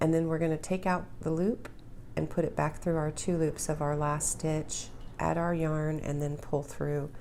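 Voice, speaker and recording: Audible room echo surrounds a woman's very deep, low voice with a dark, mellow tone. She speaks at a moderate pace in monotone, flat intonation, with very even loudness. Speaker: crochet instructor. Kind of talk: tutorial.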